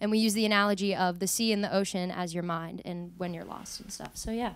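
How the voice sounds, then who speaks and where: A woman speaks at a very fast pace with fairly even intonation, in a dry recording with no echo and a quiet background. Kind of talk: song introduction between songs. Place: studio. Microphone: studio mic.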